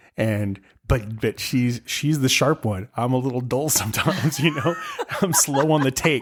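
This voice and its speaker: With an animated tone, a man speaks at a medium pitch and a moderate pace, his pitch varying in an ordinary way. His loudness stays very even despite noticeable background noise. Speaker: podcast host. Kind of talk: casual chat.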